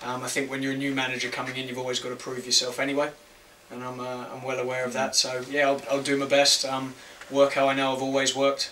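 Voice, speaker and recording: A man with an Australian accent talks at a very fast pace in a monotone, flat intonation with big swings in loudness. Noticeable background noise and audible room echo fill the recording. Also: medium pitch for a man. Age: 30s. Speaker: football manager. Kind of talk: press conference. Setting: press conference room. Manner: hesitant, many fillers.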